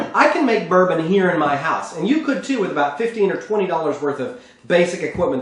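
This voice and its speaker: A man with a high pitch and an American accent speaks at a fairly quick pace with lively intonation. Noticeable background noise and audible room echo fill the recording. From Texas. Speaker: cooking show host. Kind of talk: cooking tutorial. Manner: conversational.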